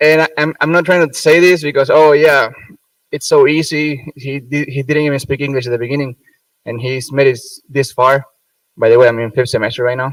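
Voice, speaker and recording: Delivered at a fairly quick pace in a Spanish accent, the speech has fairly even intonation but big swings in loudness. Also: man, fairly high pitch for a man. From Venezuela, Margarita Island. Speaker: medical student, student government president. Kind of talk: ceremony speech. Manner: unscripted, some hesitations.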